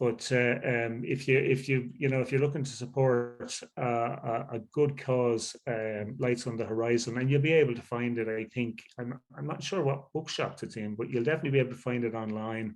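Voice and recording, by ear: A man's nasal voice comes through with audible room echo, fairly even intonation and few pauses. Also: medium pitch for a man, fairly quick pace.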